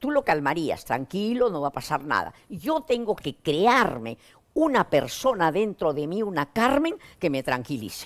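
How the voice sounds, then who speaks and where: Over a quiet background, a woman with medium pitch talks at a fairly slow pace, her pitch swinging very widely. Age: 80s+. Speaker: psychotherapist; guest. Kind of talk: interview. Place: studio. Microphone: lapel.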